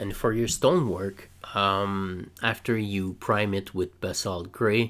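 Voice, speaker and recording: With a French-Canadian accent, this man talks in a fairly low pitch with a bright, sharp tone and fairly even intonation. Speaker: scale model builder. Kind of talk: tutorial. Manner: hesitant, many fillers; casual.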